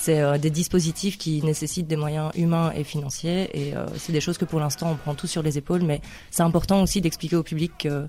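Monotone, flat intonation at a fairly quick pace, with music in the background. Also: woman. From Liège, Belgium. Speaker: youth worker and market gardener, festival organiser. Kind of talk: casual radio interview.

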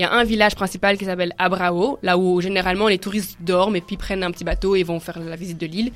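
A woman at medium pitch, very fast with hardly any pauses and monotone, flat intonation. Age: 20s. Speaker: student, backpacker. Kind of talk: radio talk show discussion.

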